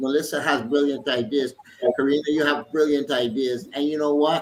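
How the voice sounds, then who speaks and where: An animated man's voice, fairly high in pitch, at a moderate pace amid noticeable background noise. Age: 60s. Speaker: politician. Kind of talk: panel discussion.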